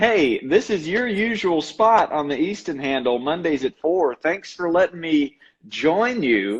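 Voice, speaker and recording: A man with a Carolina accent, high pitch, very wide pitch swings and a fairly slow pace. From North Carolina, Asheboro. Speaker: baseball coach and motivator. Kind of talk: casual chat. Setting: Instagram live video stream.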